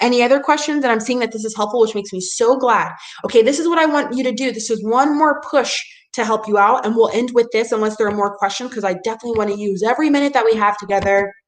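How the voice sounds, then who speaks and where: Noticeable background noise sits behind a woman talking at a very fast pace. Her pitch is fairly high, with ordinary variation. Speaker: PR agency owner giving a webinar session. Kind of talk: webinar presentation with live Q&A. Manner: animated.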